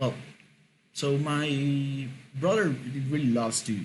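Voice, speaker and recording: A man with a Mexican accent speaks at a fairly slow pace, somewhat breathy, with a medium pitch and ordinary pitch variation. Audible room echo surrounds his voice. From Mexico. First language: Spanish. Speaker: podcast host. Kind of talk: casual monologue. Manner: halting, many fillers and repetitions.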